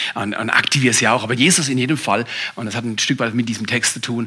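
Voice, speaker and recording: A man speaks in an animated tone. Noticeable background noise can be heard. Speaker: pastor. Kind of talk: sermon.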